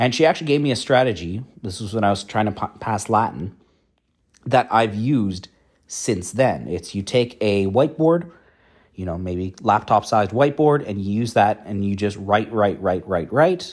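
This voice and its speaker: Over a very clean recording with a silent background, a man with an unremarkable speaking voice and fairly low pitch talks at a moderate pace with lively intonation. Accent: Canadian. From Canada. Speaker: academic and coin expert. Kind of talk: solo monologue vlog. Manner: casual, conversational with fillers.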